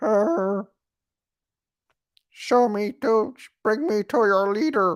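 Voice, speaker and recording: In a put-on character voice with fairly high pitch, the speaker goes at a very slow pace on a very clean recording with a silent background. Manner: robotic, comic, demanding.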